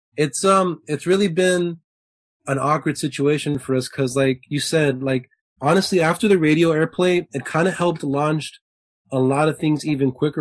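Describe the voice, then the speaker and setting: Recorded dry and close with no echo, a man speaks with an American accent at a moderate pace. His voice sits fairly high, with ordinary pitch variation. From Southern California, Lakewood. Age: 20s. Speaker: musician in a band. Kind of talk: casual interview chat.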